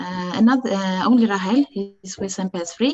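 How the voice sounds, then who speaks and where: A woman speaks with an Estonian accent at medium pitch. Her pace is moderate, with ordinary pitch variation. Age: 40s. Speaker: parent of child with rare disease. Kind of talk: testimony. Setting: video call. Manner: halting.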